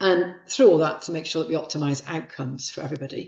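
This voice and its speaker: A woman speaks at a fairly quick pace. Her voice sits fairly low in pitch. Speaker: professor giving a guest lecture on childbirth. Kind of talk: lecture. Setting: lecture hall with live audience and online stream. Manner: fast.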